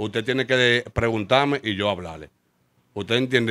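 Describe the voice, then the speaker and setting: A man with a Dominican accent talks at a fairly quick pace with fairly even intonation. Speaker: street clothing vendor. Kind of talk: interview testimony.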